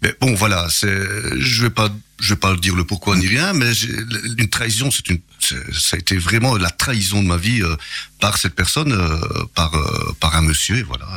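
The speaker talks at a moderate pace with lively intonation and very even loudness. There is noticeable background noise. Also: man, fairly low pitch for a man. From Belgium, Charleroi. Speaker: local politician. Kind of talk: radio interview. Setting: radio studio.

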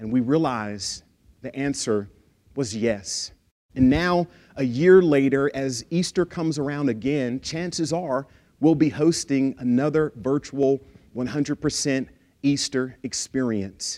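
The recording is very clean, with a silent background. A man talks fairly slowly at a fairly high pitch, with ordinary pitch variation. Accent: American. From East Texas (Lufkin). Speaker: pastor. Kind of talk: sermon.

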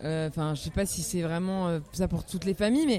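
A woman with a fairly low pitch and a dark, mellow tone speaks at a very fast pace with ordinary pitch variation. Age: 30s. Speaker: singer-songwriter. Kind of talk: interview, casual conversation. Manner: hesitant, many fillers and repetitions.

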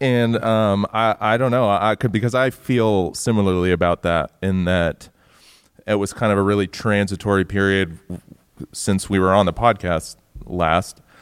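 With a normal speaking voice, a man talks at a moderate pace in a fairly low pitch, his loudness very even and his intonation fairly even, the sound dry and close with no echo in a very clean recording with a silent background. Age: 30s. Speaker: musician in a band. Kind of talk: casual chat. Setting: stage with audience.

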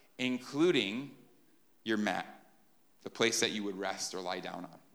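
With a bright, sharp tone, a man talks at medium pitch in a space with audible room echo. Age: 30s. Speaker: pastor. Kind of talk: sermon.

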